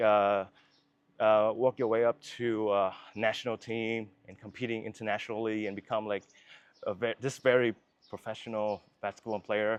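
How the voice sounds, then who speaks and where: Flat, monotone intonation with a Vietnamese accent. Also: man, fairly low pitch for a man, moderate pace. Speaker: filmmaker. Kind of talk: interview. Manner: halting.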